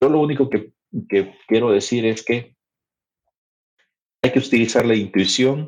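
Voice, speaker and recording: A quiet man's voice with ordinary pitch variation and a fairly slow pace. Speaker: podcast host. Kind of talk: educational podcast chat. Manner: conversational, with filler hesitations.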